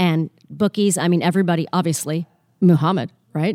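A woman with a fairly low pitch and a dark, mellow tone speaks at a fairly quick pace, in a dry, close sound with no echo on a very clean recording with a silent background. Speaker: hypnotherapist. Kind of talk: casual interview chat. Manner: fast talker.

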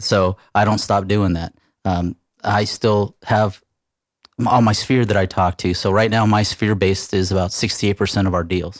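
In a very clean recording with a silent background, an American accent comes through in a monotone, flat delivery with a dry, close sound and no echo. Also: man, moderate pace. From California. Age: 40s. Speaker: real estate team leader. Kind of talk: interview on a business podcast.

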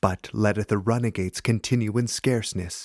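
A plain, everyday voice from a man at medium pitch, moderate in pace, with fairly even intonation and a dry, close sound with no echo. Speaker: prayer leader reading liturgy. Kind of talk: fervent prayer, reverent liturgical reading of a confession and psalm. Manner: solemn, earnest and fervent; measured, formal, reverent.

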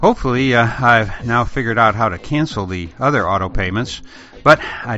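At a moderate pace, a man talks at medium pitch in a plain, everyday voice. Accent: American. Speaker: podcast host. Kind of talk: podcast monologue.

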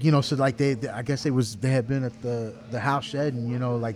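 Music plays in the background as a man speaks at medium pitch. He has an American accent and fairly even intonation. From Texas, Garland (Dallas area). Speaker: bassist. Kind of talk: interview. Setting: bar. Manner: halting.

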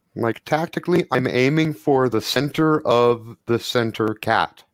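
The speech comes very slowly, with a dry, close sound and no echo. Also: man. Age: old. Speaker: tabletop game player. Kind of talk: tabletop roleplaying game session.

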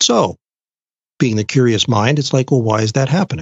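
The voice sounds somewhat breathy. Its pitch varies in an ordinary way. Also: man. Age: 60s. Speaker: genetic nutrition expert. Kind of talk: interview.

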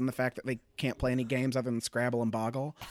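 In an American accent, a man talks at a very fast pace and medium pitch, the sound dry and close with no echo. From US Midwest, Springfield, Illinois. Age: 20s. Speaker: stand-up comedian. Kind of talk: casual chat. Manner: animated.

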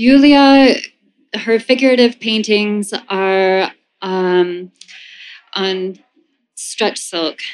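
A woman with an American accent speaks at a very slow pace, leaving long, frequent pauses. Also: medium pitch for a woman, ordinary pitch variation. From New York City. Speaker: gallery owner, former ballet dancer. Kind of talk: panel discussion. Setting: stage with audience.

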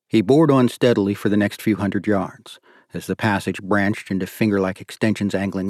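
With an unremarkable speaking voice, a man talks at a moderate pace, his fairly low pitch carried by fairly even intonation. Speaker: audiobook narrator. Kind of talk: dramatic audiobook narration of a thriller. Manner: tense, suspenseful, hushed and urgent.

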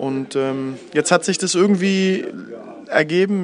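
The man's intonation stays fairly even while noticeable background noise sounds behind him. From Berlin, Germany, partly abroad. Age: 30s. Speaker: basketball assistant coach. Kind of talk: interview. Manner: hesitant, many fillers.

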